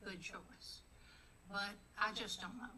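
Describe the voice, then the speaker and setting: A woman speaks at a moderate pace with fairly even intonation, and audible room echo surrounds her voice. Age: 80s+. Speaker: congregant and former minister. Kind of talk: community meeting remarks.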